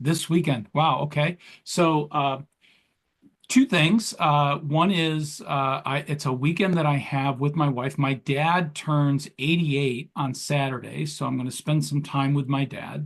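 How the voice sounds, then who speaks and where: Against a quiet background, a man speaks at a fairly slow pace with a fairly high pitch, a somewhat breathy quality and fairly even intonation. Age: 60s. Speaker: entrepreneur and leadership coach. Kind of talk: interview. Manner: hesitant, many fillers.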